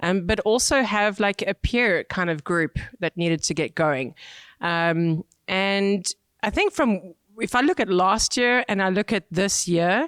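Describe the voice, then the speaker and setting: A woman with a South African accent, her energetic delivery fairly slow, her intonation lively and her pitch medium, in a very clean, silent-background recording with dry, close, echo-free sound and very even loudness. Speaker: cycling brand marketing manager. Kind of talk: podcast interview.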